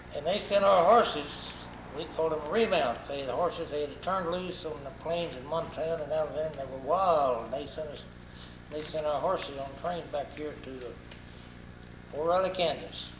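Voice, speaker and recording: A man with a rural Arkansas accent talks at a moderate pace, his pitch fairly high and its variation ordinary. Noticeable background noise and audible room echo accompany him. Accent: rural Arkansas Southern. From US South, Arkansas (Crawford County). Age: 80s+. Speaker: war veteran. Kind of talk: oral history interview. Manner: halting, repeats words.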